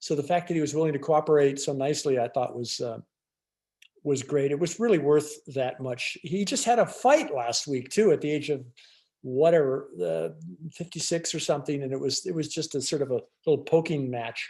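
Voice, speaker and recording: Fairly high for a man, this voice has a dark, mellow tone and ordinary pitch variation. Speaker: restaurant owner. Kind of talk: illustrated talk. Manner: fast; halting.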